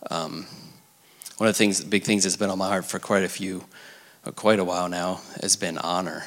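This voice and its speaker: A man talks at a moderate pace in a very deep, low voice with monotone, flat intonation. He leaves long, frequent pauses. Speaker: pastor. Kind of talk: prayer and church service hosting. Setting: church.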